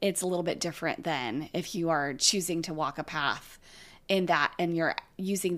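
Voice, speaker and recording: In an ordinary speaking voice, a woman with a fairly low pitch and an American accent speaks at a moderate pace with ordinary pitch variation on a very clean recording with a silent background. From California. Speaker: yoga teacher. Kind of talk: casual chat.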